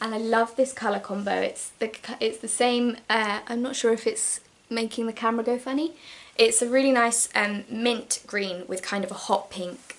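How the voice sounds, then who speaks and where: With an English accent, the speaker keeps a fairly even intonation. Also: woman. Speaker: sewing vlogger. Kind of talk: casual haul vlog. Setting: at home, downstairs. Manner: fast.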